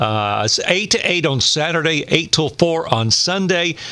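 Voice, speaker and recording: The voice carries an East Tennessee accent with lively intonation. Noticeable background noise is present. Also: man. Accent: Southern US (East Tennessee). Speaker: radio host and former county commissioner. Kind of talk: casual chat.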